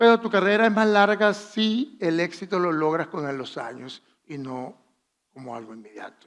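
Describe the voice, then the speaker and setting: Spoken with a Venezuelan accent, the voice makes very wide swings in pitch and big jumps in loudness. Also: man, high pitch for a man, moderate pace. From Venezuela, Valera. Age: 60s. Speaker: fashion designer. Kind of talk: masterclass talk.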